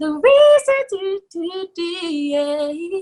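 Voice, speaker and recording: A woman with a New York accent speaks in an animated tone. Her pitch swings very widely. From New York, the Bronx. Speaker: R&B singer. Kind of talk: interview.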